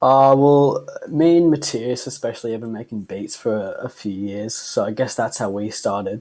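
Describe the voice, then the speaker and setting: A man with an Australian accent, medium in pitch and dark and mellow in tone, at a moderate pace with ordinary pitch variation and hardly any pauses. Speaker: band musician. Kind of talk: casual interview.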